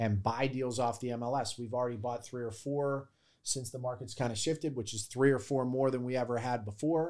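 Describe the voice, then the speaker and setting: In a very clean recording with a silent background, a man with an American accent and an ordinary speaking voice talks at a fairly quick pace, his medium pitch showing ordinary variation. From Pittsburgh, Pennsylvania. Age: 40s. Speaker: real estate wholesaler. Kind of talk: podcast interview.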